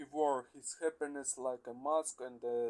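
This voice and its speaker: Very slowly and in a flat, monotone way, a man talks with a Russian accent. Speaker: English learner. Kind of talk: reading aloud. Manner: halting, many hesitations.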